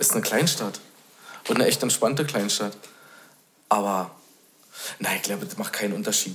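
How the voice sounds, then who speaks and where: A man at a fairly quick pace, with long, frequent pauses and noticeable background noise. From Bad Belzig, Brandenburg. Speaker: guest, returning resident. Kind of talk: casual chat.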